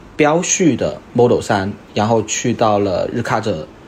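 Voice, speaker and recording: This man talks while noticeable background noise sounds behind him. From Guangdong, China. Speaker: car owner, software product manager. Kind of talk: casual chat.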